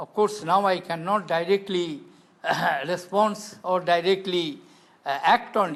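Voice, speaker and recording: Speaking with an Indian accent, this man has a high pitch. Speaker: politician, former head of state. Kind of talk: interview answer.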